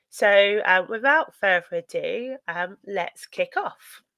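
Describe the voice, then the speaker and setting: A woman with a British accent speaks at a medium pitch in a bright, sharp tone, recorded dry and close with no echo. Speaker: data protection consultant, company co-founder. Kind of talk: webinar presentation. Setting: online webinar. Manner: hesitant, many fillers.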